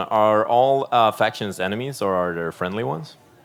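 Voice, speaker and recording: The speaker has a Swedish accent and lively intonation. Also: man. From Sweden. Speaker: stream co-host reading chat questions. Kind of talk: live stream Q&A. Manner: halting.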